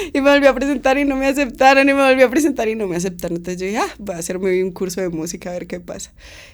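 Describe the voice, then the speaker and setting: Very fast speech from a fairly high-pitched woman, with very wide pitch swings and big swings in loudness, amid noticeable background noise. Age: 20s. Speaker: musician. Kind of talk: interview. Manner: casual, hesitant fillers.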